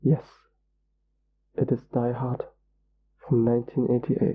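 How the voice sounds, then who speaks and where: Speech unfolds fairly slowly. There is a somewhat breathy quality to the voice. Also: man. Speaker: ASMR commentator. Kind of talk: ASMR movie commentary.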